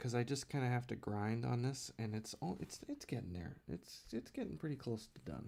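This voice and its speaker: Quiet and dark, mellow in tone, a man talks at a moderate pace with ordinary pitch variation and hardly any pauses. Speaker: comic artist live streamer. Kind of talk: casual live stream chat while drawing. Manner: quiet, low; halting. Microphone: too quiet, mic turned up.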